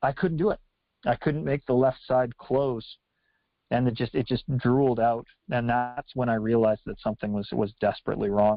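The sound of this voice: A man at medium pitch and moderate pace, little pitch movement, in a dry, close sound with no echo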